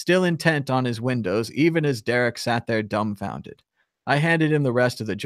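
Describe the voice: Someone reads aloud plainly, with a quiet background behind them.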